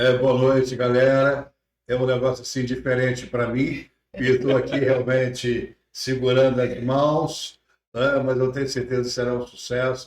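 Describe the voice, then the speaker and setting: This man's voice sits at a medium pitch. He talks at a fairly slow pace in a monotone, flat intonation. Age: 70s. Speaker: pastor. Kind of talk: casual interview. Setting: church podcast studio.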